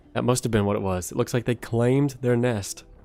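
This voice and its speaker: A man's medium-pitched voice at a very fast pace with ordinary pitch variation, music in the background. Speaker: gaming streamer. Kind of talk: live gameplay commentary. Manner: casual, with fillers.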